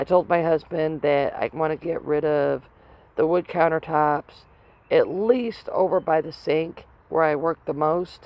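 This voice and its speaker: Fairly slow and fairly low in pitch, a woman talks in an ordinary speaking voice with fairly even intonation. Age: 50s. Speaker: housewife. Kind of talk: casual talk to camera.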